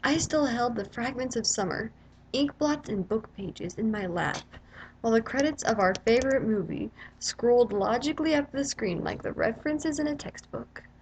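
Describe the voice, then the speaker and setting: Lively intonation and a moderate pace in a normal speaking voice. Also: woman, fairly high pitch for a woman. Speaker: spoken word poet. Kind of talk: slam poetry reading.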